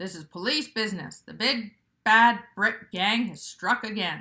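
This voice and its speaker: Someone uses a put-on character voice with big swings in loudness. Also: woman, fairly high pitch for a woman, moderate pace. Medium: read story. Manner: stern, quarrelsome.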